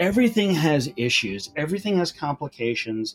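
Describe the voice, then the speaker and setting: On a very clean recording with a silent background, a man speaks at a fairly high pitch with very wide pitch swings. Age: 50s. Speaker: butcher and entrepreneur. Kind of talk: interview.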